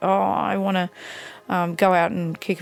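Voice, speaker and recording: With music in the background, a woman speaks in an Australian accent at a moderate pace. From Australia, Canberra. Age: 30s. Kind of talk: personal testimony. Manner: hesitant, many fillers.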